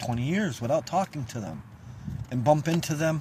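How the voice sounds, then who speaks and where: Somewhat breathy, a man with an upstate New York accent speaks with lively intonation. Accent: upstate New York American. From central New York. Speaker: local community video host. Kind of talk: casual vlog monologue. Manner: halting, loses track.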